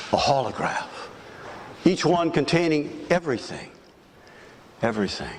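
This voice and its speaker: A man talks over noticeable background noise. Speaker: minister giving a sermon. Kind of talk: extemporaneous sermon to a congregation.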